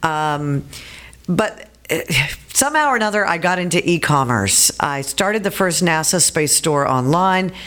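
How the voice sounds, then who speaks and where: With a plain, everyday voice, a woman at a fairly low pitch talks at a moderate pace with lively intonation. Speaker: former radio host, author, speaker, congressional candidate. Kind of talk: casual interview chat.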